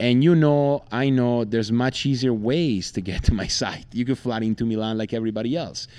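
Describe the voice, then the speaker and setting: A man's medium-pitched voice with a dark, mellow tone, in an Italian accent, with ordinary pitch variation, a moderate pace and a quiet background. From Italy. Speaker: podcast host and water skier. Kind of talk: podcast intro monologue; interview. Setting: at a lakeside tournament.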